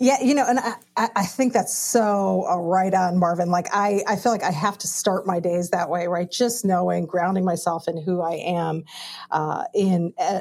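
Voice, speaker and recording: A woman speaks with an American accent. Her voice is medium in pitch and her pace fairly slow. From Chicago, US Midwest, Indian American family. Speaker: pastor. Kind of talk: panel discussion.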